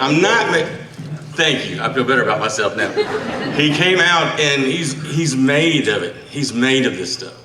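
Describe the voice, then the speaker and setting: The speaker has a strong Southern US accent. Audible room echo and noticeable background noise are present. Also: man. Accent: thick Southern US. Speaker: magazine editor and radio host, speaker at book launch. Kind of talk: speech at a book launch. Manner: halting, repeats words; trying to speak slowly.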